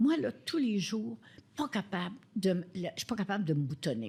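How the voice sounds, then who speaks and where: Somewhat breathy, a woman with a dark, mellow tone and medium pitch speaks at a moderate pace on a very clean recording with a silent background. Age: 80s+. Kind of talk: interview answer.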